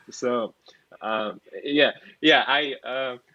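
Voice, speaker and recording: Bright and sharp in tone, a man of medium pitch with a non-native accent speaks with fairly even intonation in a dry, close sound with no echo. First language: not English. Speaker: software engineer. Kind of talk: casual interview. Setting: podcast. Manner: halting, many fillers.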